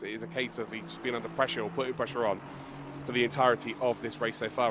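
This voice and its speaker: A man with a mid-range voice talks while noticeable background noise carries on. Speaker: esports race commentator. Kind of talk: live commentary. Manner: animated.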